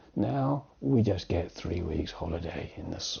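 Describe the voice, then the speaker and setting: A man with a British accent at a fairly slow pace, his pitch making very wide swings. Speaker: English teacher. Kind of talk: tutorial. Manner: conversational.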